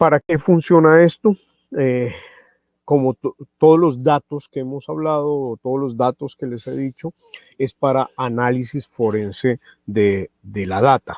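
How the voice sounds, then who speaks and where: A man speaks at a fairly slow pace with a medium pitch and ordinary pitch variation, in a dry, close sound with no echo. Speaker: product trainer presenting a radio receiver. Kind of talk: webinar product presentation. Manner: slow, deliberate; many filler sounds.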